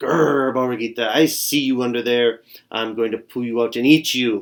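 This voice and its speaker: Putting on a growling character voice, a man speaks at a medium pitch and a moderate pace with fairly even intonation. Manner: menacing, threatening.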